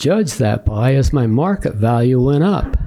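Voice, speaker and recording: Noticeable background noise sits behind a man who talks fairly slowly. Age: 80s+. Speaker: public commenter, homeowner. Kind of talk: public comment at hearing. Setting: county commission meeting.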